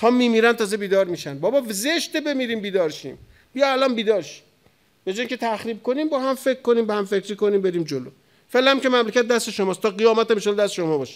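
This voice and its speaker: Against a quiet background, a man with a high pitch speaks very fast in an animated tone. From Iran, Tehran. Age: 40s. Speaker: cleric; cleric lecturer. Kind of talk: sermon. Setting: mosque pulpit with audience. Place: hall. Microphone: studio mic.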